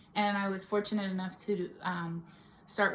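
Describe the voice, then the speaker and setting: Moderate-paced speech from a woman at medium pitch, noticeable background noise behind it. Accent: Bay Area. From California, Stockton. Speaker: makeup artist and beauty vlogger. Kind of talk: casual vlog chat. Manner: casual, with many fillers.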